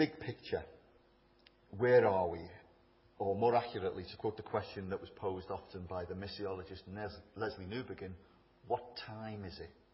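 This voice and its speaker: A man speaks at a fairly low pitch with a Liverpool accent and a fairly quick pace. His loudness swings widely, his pitch varies in an ordinary way, and long pauses come often. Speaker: speaker at a church event. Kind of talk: public talk, informal with jokes. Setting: stage.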